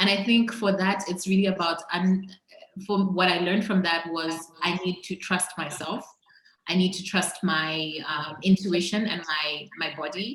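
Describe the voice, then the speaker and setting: With fairly even intonation, a woman talks at a moderate pace amid audible room echo. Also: medium pitch for a woman. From Zambia. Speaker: entrepreneur. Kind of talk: interview conversation.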